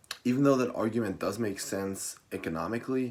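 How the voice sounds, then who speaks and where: A man talks at a moderate pace with a non-native accent. His pitch varies in an ordinary way. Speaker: college student. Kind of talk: class persuasive speech.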